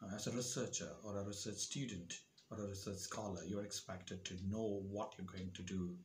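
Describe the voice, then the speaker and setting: Speaking at a moderate pace, a man has a fairly low, somewhat breathy voice. Light background noise sits behind him. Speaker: educator giving advice. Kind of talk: tutorial. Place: home room. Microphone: lapel.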